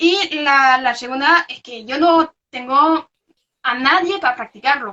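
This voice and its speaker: The woman's intonation is lively throughout. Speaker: researcher. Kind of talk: interview. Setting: video call. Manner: halting.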